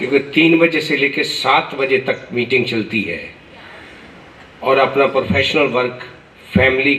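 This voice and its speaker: Against noticeable background noise, a man speaks in a fairly high voice with fairly even intonation. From Punjab. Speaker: senior lawyer addressing new advocates. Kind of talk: formal speech to an audience.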